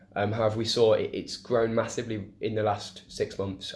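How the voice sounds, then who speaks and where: A man with a Birmingham accent, fairly low pitched and somewhat breathy, at a moderate pace. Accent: Birmingham (Brummie) English. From English Midlands, Birmingham. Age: young. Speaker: climate activist. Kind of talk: casual interview. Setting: in person at a bar.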